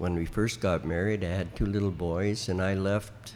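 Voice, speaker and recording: With an Ontario accent, a man talks at a fairly slow pace in a fairly low pitch with ordinary pitch variation. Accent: Canadian (Ontario). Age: 80s+. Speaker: veteran country musician. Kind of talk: interview storytelling. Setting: flea market. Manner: halting.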